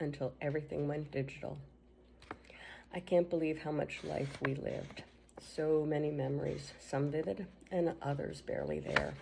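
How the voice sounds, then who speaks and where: Very deep and low in pitch, a woman speaks at a moderate pace in a dark, mellow tone with vocal fry and fairly even intonation. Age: 60s. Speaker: sibling giving a tribute. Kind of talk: reading aloud a written tribute.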